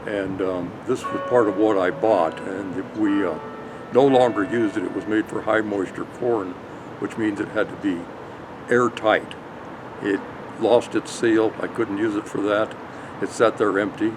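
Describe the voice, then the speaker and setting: With long, frequent pauses, a man with an American accent speaks in a fairly low voice and fairly even intonation over noticeable background noise. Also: moderate pace. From Colorado, US. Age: 70s. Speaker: dairy farmer. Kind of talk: interview. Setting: on location at a brewery.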